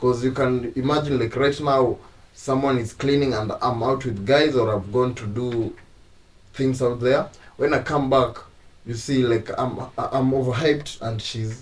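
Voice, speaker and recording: Speaking with an East African accent, a man with a somewhat breathy, medium-pitched voice keeps a moderate pace and fairly even intonation. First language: Swahili. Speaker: YouTube couple channel host. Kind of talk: casual chat.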